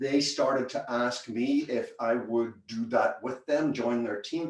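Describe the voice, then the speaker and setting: The speaker has a Northern Irish accent and keeps a moderate pace. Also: man. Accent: Northern Irish, retained. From Northern Ireland, Belfast. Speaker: business consultant. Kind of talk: presentation.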